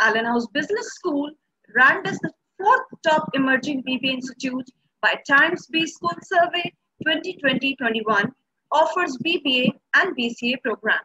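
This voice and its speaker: A woman's raised, projected voice, bright and sharp, at a fairly slow pace over a quiet background. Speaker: event host. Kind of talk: formal welcome address. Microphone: earbuds.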